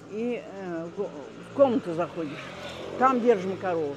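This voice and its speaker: A woman talks at a fairly slow pace, and noticeable background noise sits behind her. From Crimea, Gaspra. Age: 90s. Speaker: elderly local resident recounting wartime memories. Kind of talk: oral history interview. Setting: outdoors walk. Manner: halting, many hesitations.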